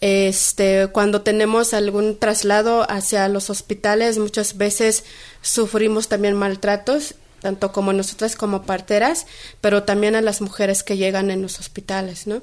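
Over a quiet background, a woman of medium pitch speaks at a fairly slow pace in a monotone, flat delivery. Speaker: midwife and spokeswoman. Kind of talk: interview. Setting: radio studio. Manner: hesitant, many fillers.

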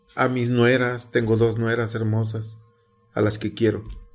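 A man talks in a flat, monotone way. There is audible room echo and music in the background. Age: 60s. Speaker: community radio presenter, teacher. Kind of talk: interview.

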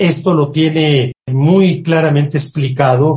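Somewhat breathy speech with ordinary pitch variation. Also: man. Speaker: food historian. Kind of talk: interview.

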